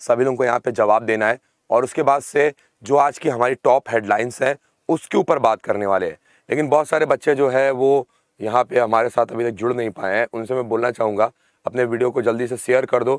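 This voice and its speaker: At a moderate pace, a man talks with a dry sound with no echo and a quiet background. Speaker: online exam-prep teacher. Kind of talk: lecture. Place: studio.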